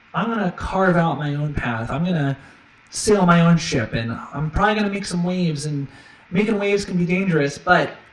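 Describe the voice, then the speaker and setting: Over noticeable background noise, a man with a high voice talks fairly quickly, using ordinary pitch variation. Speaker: streamer and musician. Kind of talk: casual live stream monologue. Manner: fast.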